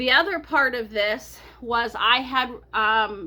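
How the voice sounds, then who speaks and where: Her tone is bright and sharp, with a fairly high pitch. This woman's pitch varies in an ordinary way. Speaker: personal finance vlogger. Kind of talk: budget walkthrough vlog. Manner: loud.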